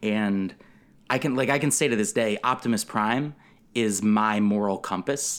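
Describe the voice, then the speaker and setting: A man with a plain, everyday voice talks at a moderate pace, his pitch fairly low with ordinary variation. His loudness stays very even in a very clean recording with a silent background. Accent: American. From Connecticut, US. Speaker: comedy writer and podcaster. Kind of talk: casual chat.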